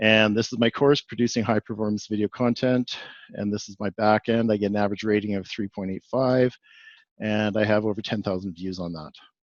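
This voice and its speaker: In a Canadian accent, a man with a normal speaking voice talks at a fairly quick pace with a fairly low pitch and fairly even intonation, the sound dry and close with no echo over a quiet background. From Canada, Edmonton, Alberta. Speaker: executive coach and video producer. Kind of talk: webinar presentation.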